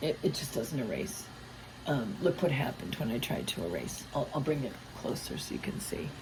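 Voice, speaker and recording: Amid noticeable background noise, a woman with a very deep, low pitch speaks with very wide pitch swings. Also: moderate pace. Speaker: art teacher. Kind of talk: ASMR drawing tutorial. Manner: whispered.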